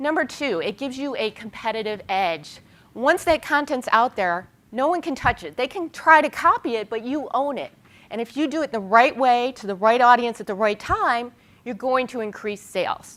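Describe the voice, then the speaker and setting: This woman's high voice sounds animated, with lively intonation and big swings in loudness. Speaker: public relations consultant and conference speaker. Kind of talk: conference presentation. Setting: stage with audience. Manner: fast.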